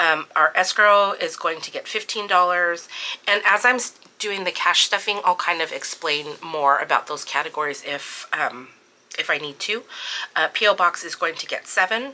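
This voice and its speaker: A woman speaks at a medium pitch amid noticeable background noise. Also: ordinary pitch variation, moderate pace. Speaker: budgeting vlogger. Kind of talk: budget walkthrough tutorial. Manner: casual, many filler words.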